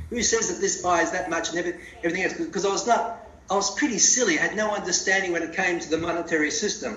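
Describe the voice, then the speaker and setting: Someone with an Australian accent talks at a very fast pace, with audible room echo. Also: man, high pitch for a man, ordinary pitch variation. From Australia, Melbourne area (rural dairy farm). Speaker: CEO of a precious metals company. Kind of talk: interview. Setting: phone call.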